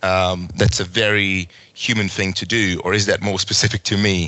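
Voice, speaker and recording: A man speaks with a Hungarian accent at a moderate pace. His pitch is fairly low, with ordinary variation. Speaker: podcast host. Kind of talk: interview. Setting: video call.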